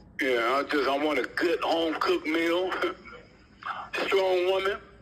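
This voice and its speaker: Over noticeable background noise, a man speaks in a high pitch with ordinary pitch variation and very even loudness. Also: fairly slow pace. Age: 60s. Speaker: incarcerated gang co-founder. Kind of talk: interview.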